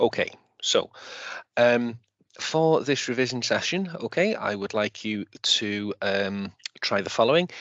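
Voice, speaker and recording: A man talks with a Welsh accent and lively intonation. His pace is fairly slow, broken by long, frequent pauses. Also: medium pitch for a man. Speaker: teacher. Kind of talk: lecture. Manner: halting, many fillers.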